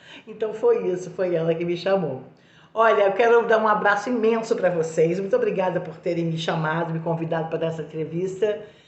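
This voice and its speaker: A woman talks in an animated tone. Audible room echo and noticeable background noise surround her voice. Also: medium pitch for a woman, ordinary pitch variation. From Brazil, Minas Gerais. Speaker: actress. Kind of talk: interview answers, anecdotal. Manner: animated, hesitant with fillers.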